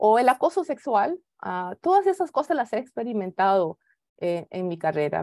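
At a moderate pace, a woman's voice makes very wide pitch swings, with a dry sound with no echo and a quiet background. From Costa Rica. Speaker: space agency engineer and executive; keynote speaker. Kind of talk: keynote talk. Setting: video call. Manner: halting, many fillers. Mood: earnest, reflective. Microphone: video call.

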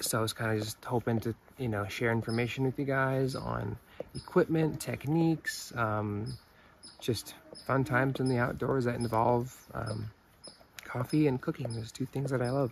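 A moderate pace and fairly even intonation, with a dry sound without echo and light background noise. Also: man. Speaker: outdoor gear reviewer. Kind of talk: casual product review. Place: open country.

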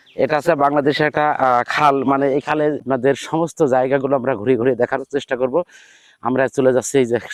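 A man's voice at very even loudness, with monotone, flat intonation. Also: medium pitch for a man. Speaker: vlogger. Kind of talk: walking tour vlog narration. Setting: outdoors.

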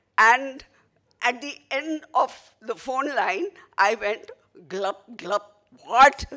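Very slow, high-pitched woman's speech with long, frequent pauses, big swings in loudness, lively intonation and a bright, sharp tone against a quiet background. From India (Maharashtra). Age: 70s. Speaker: theatre critic and writer. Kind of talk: acceptance speech. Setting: stage with audience. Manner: laughing often. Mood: humorous, animated storytelling. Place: hall. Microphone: podium.

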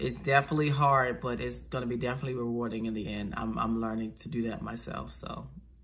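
With a bright, sharp tone, a man talks at a fairly quick pace. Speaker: movie reactor. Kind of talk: reaction commentary. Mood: earnest, encouraging. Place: home room.

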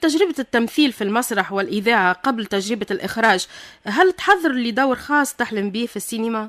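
In a plain, everyday voice, a woman with fairly high pitch talks at a moderate pace with lively intonation and hardly any pauses, her dry, echo-free sound set against a quiet background. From Tunisia. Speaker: radio host. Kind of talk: radio interview. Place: studio.

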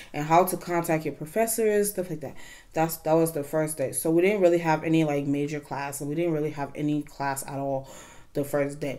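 Against a quiet background, a woman speaks at a fairly quick pace in a very deep, low voice with fairly even intonation. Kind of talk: casual vlog chat. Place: home room.

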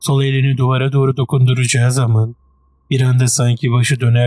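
Reading in an effortless, unstrained voice

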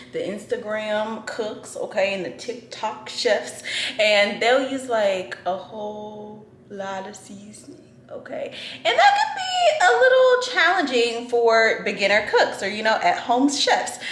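The pace is fairly slow, with big swings in loudness. Audible room echo surrounds the voice. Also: woman. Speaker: lifestyle vlogger. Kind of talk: casual vlog chat. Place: kitchen. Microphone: phone near.

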